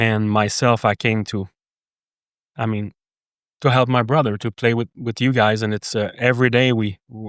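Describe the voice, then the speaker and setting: In a French Canadian accent, a man with a medium pitch speaks at a moderate pace in a monotone, flat intonation, leaving long, frequent pauses, in a very clean recording with a silent background and a dry, close sound with no echo. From Quebec, Canada. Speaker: horse business manager. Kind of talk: casual chat. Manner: halting.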